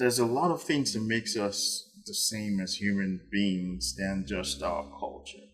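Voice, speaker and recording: This man speaks very slowly. Behind him, music is playing. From Nigeria. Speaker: podcast host. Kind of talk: casual chat. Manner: clear and audible; hesitant, with frequent repetitions.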